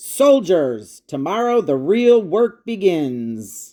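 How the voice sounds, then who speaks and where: In a put-on character voice, the speech crawls at a very slow pace with very wide pitch swings. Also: woman, medium pitch for a woman. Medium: read story. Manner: firm, authoritative.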